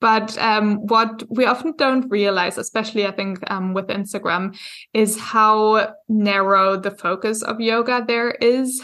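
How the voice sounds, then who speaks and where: Over a very clean recording with a silent background, a woman with a fairly high pitch and a German accent speaks at a fairly slow pace. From Germany. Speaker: yoga teacher and business coach. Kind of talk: interview podcast. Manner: frequent hesitations (um).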